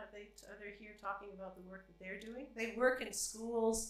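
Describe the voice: Speaking at a fairly quick pace, a woman has a fairly bright tone over strong room echo.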